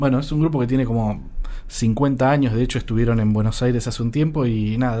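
Audible room echo colors a man's medium-pitched voice, which has a dark, mellow tone. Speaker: podcast host and magazine editor. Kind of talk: scripted narration; interview.

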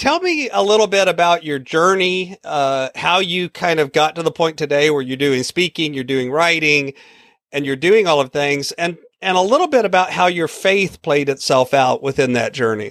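An unremarkable speaking voice with ordinary pitch variation moves at a moderate pace, recorded very cleanly against a silent background with a dry, close sound and no echo. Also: man, fairly high pitch for a man. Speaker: podcast host. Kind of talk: interview.

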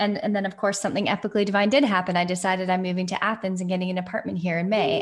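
Somewhat breathy speech comes at a very fast pace. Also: woman. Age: 40s. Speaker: podcast host. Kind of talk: casual chat. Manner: animated.

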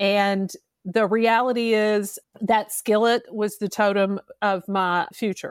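With a Kentucky accent, a woman talks very slowly at a fairly high pitch in a flat monotone, recorded very cleanly against a silent background with a dry, close sound and no echo. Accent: Southern US (Kentucky). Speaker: podcast host, former public defender. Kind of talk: interview conversation.

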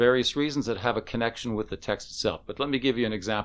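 A man with an ordinary speaking voice, medium pitch and ordinary pitch variation on a very clean recording with a silent background. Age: 60s. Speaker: synagogue spiritual director. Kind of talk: casual chat.

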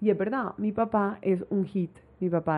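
A normal speaking voice, middling in speed and fairly level in intonation. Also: woman. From Colombia, Barranquilla (Caribbean coast). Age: 20s. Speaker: travel influencer. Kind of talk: casual interview. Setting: host's apartment.

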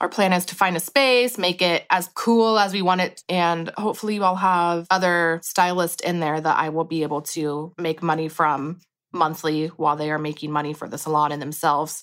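Heard on a very clean recording with a silent background, a woman with a plain, everyday voice speaks at a fairly low pitch and moderate pace with ordinary pitch variation. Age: 30s. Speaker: hair colorist. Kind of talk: interview. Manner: casual, many filler words.

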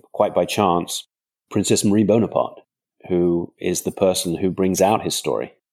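A man with a southern English accent, very deep and low in pitch, monotone and flat, at a moderate pace, on a very clean recording with a silent background. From England, countryside outside London. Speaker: crime novelist. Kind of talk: interview.

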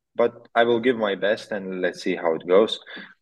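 In an ordinary speaking voice, a man talks at a moderate pace and medium pitch. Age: 20s. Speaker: motocross rider. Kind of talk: interview.

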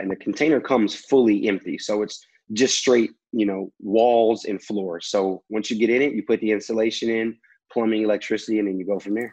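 Fairly quick and fairly low-pitched, a man with an American accent talks in a plain, everyday voice with fairly even intonation. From Houston, Texas. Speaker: entrepreneur, former college athlete. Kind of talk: interview. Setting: video call.

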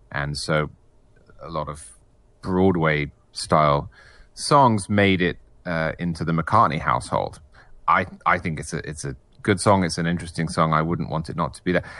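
Against a quiet background, a man with an English accent and a very deep, low pitch speaks at a moderate pace in a bright, sharp tone, with big swings in loudness and long, frequent pauses. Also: ordinary pitch variation. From England. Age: 30s. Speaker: magazine editor and author. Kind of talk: casual chat.

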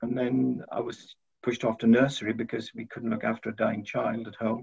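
A man speaks at a moderate pace with a Welsh accent. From South Wales. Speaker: university head. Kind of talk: interview.

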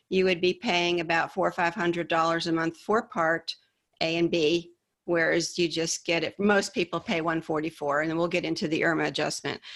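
In a very clean recording with a silent background, a woman with a fairly low pitch uses a normal speaking voice at a moderate pace. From upstate New York. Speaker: Medicare insurance specialist. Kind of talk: interview.

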